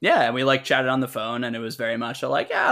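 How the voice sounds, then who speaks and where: Very fast speech in an American accent, bright and sharp in tone, on a very clean recording with a silent background. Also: man. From Boston. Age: 20s. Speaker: podcast guest, employee of the hosts. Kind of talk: casual chat.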